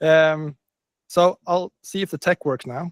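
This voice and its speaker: A man's fairly high voice with a Swedish accent, dry and close-sounding with no echo. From northern Sweden. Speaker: business coach. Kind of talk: webinar presentation.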